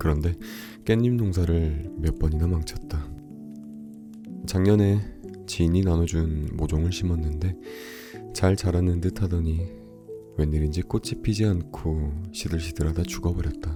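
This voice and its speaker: Music plays in the background as a man speaks with a very deep, low pitch and very even loudness. His pace is fairly slow, with long, frequent pauses. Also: ordinary pitch variation. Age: 20s. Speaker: audiobook narrator. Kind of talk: audiobook reading.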